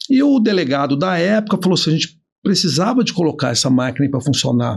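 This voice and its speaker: A man at a very fast pace, with vocal fry, very even loudness and very wide pitch swings. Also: fairly high pitch for a man. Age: 50s. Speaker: business owner and trainer. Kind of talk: casual interview chat.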